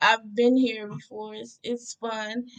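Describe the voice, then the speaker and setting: The woman speaks at a moderate pace. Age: 20s. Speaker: travel vlogger. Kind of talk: tutorial. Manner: loud.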